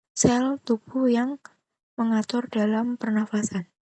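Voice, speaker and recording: A woman whispers over a quiet background, the sound dry and close with no echo. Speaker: biology teacher. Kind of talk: tutorial. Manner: whispering.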